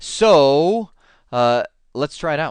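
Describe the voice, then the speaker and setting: In a quiet setting, a man speaks in an animated tone with very wide pitch swings. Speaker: IT networking instructor. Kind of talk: tutorial. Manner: fast.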